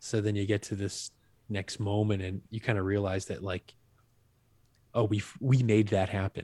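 A man's fairly low, dark, mellow voice, somewhat breathy and flat in monotone, at a moderate pace with long, frequent pauses. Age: 30s. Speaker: musician. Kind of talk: casual chat. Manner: halting.

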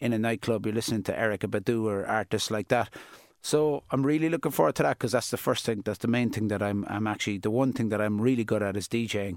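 At a very fast pace, a man with a Cork accent speaks at medium pitch with fairly even intonation, and the sound is dry and close with no echo on a very clean recording with a silent background. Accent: Cork Irish. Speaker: DJ and youth worker. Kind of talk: interview. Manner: casual.

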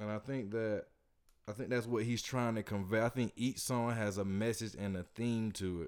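In an American accent, a normal speaking voice goes at a moderate pace with fairly even intonation. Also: man, medium pitch for a man. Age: 20s. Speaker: podcast host. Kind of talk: casual chat. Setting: studio.

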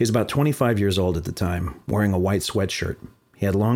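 The voice reads in a natural way.

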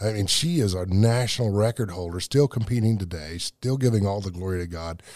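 An ordinary speaking voice: a man at a fairly low pitch with ordinary pitch variation, a fairly quick pace and hardly any pauses, on a very clean recording with a silent background. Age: 60s. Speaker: powerlifter and military veteran. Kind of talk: interview testimony.

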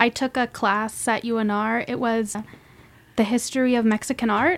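On a very clean recording with a silent background, a woman with an American accent speaks in a fairly high voice with monotone, flat intonation. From Reno, Nevada, US. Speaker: art history graduate and curator. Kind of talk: casual interview.

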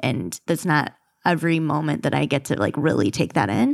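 A woman speaks with an American accent, a very deep, low pitch and vocal fry. Her pace is moderate, and the recording is very clean with a silent background. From Michigan. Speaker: podcast co-host. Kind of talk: casual chat. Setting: studio.

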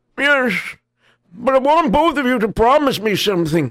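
A man's put-on character voice, extremely high in pitch, with lively intonation at a moderate pace. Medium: read story.

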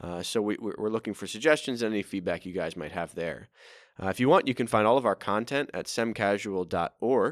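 In a very clean recording with a silent background and a dry, close sound with no echo, a man with a fairly low pitch uses an ordinary speaking voice at a fairly quick pace with ordinary pitch variation. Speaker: seminarian podcast host. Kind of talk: interview.

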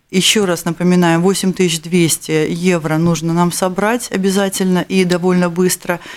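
Recorded very cleanly against a silent background, a woman speaks with a warm tone at a fairly low pitch. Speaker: radio host. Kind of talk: charity radio show. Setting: studio.

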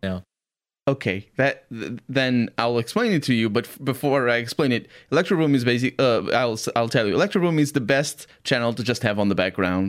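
With a Portuguese accent, a man of medium pitch speaks fairly quickly with ordinary pitch variation, on a very clean recording with a silent background. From Portugal. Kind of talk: casual chat.

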